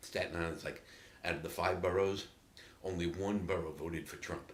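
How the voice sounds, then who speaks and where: With a New York accent, a man speaks in a very deep, low voice and a flat, monotone delivery, with audible room echo around him. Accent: New York City. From New York City, Queens (Flushing). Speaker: native dialect sample speaker. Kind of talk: casual storytelling monologue.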